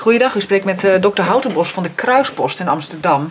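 Light background noise sits behind a woman's voice. She speaks at a moderate pace with lively intonation. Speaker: doctor. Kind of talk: phone call. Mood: calm, careful, concerned.

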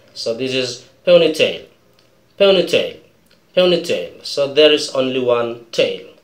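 Audible room echo surrounds a man with an Indonesian accent. He speaks at a fairly slow pace. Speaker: English teacher. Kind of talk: tutorial.

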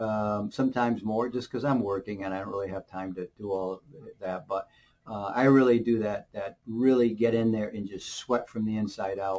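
The man's pitch is fairly low and his intonation fairly even. He keeps a moderate pace. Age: 60s. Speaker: alternative health video creator. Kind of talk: casual monologue giving health advice. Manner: rambling, persuasive, filler-heavy. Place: office. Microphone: webcam.

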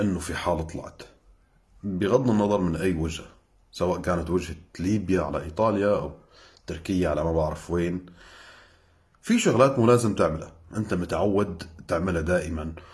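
A man with a somewhat breathy voice speaks at a moderate pace, leaving long, frequent pauses. The background is quiet. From Syria. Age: young. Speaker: Syrian activist; social media commentator. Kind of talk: sarcastic video commentary. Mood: scornful, lecturing, indignant. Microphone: phone near.

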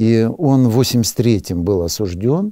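A man with a fairly low pitch and a dark, mellow tone makes very wide pitch swings, recorded with a dry sound with no echo over a quiet background. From Siberia. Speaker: Orthodox priest. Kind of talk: interview. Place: studio.

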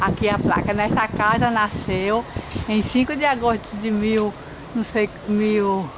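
A woman with a fairly high pitch talks fairly slowly and with fairly even intonation, noticeable noise sounding behind her. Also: very even loudness. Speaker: travel vlogger. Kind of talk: vlog narration. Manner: speaking quietly. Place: street. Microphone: phone near.

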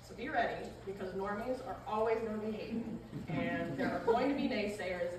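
A woman at medium pitch, with ordinary pitch variation, a fairly quick pace and audible room echo

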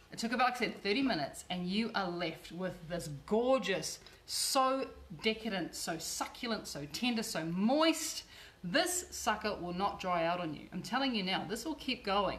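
Over noticeable background noise, a woman with an Australian accent speaks at medium pitch and a moderate pace with very wide pitch swings. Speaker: cooking show host and cookbook author. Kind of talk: cooking tutorial. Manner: chatty and warm.

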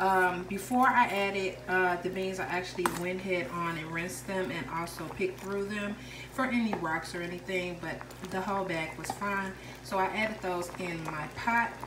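A woman talks at a moderate pace with fairly even intonation and a fairly low pitch. Clear background noise sits behind her.

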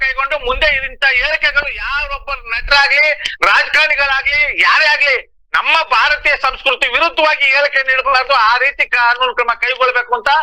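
A man's raised, projected voice at an extremely high pitch, animated in tone, with very even loudness. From Mysore, Karnataka. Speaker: language activist. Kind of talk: phone interview.

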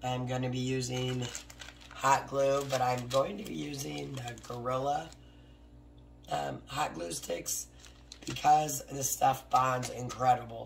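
A woman with an American accent and a very deep, low pitch speaks at a very slow pace with long, frequent pauses and ordinary pitch variation, over noticeable background noise. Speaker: craft YouTuber. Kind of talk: tutorial. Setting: home craft studio, with barking dogs. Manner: casual, talks while working.

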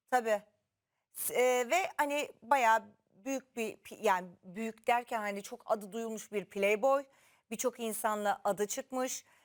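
A woman speaks very slowly with a fairly high pitch and ordinary pitch variation. The recording is very clean, with a silent background. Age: 40s. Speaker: TV talk show host. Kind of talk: casual chat.

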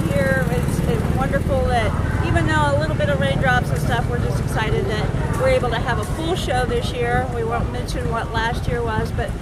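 Against loud background noise, a woman speaks with hardly any pauses in a dry setting with no echo. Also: moderate pace. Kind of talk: interview answer. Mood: upbeat, enthusiastic. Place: open country.

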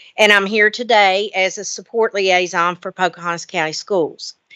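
Over a quiet background, a woman with an American accent speaks at medium pitch and a moderate pace in a bright, sharp tone, the sound dry and close with no echo. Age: 60s. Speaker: retired school superintendent. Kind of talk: formal presentation to a board.

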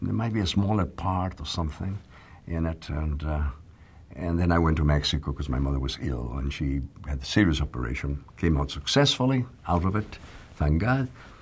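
A man with very deep, low pitch at a fairly quick pace. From northern Mexico. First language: Spanish. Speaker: actor. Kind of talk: interview answer. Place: studio.

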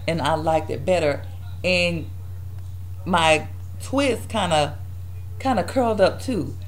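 The speech moves at a fairly slow pace, with long, frequent pauses. Noticeable background noise runs underneath. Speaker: hair vlogger. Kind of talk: casual hair tutorial vlog. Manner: casual, chatty.

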